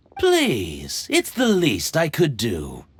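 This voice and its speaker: Recorded very cleanly against a silent background, the speaker uses a put-on character voice. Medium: video game. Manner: polite, earnest.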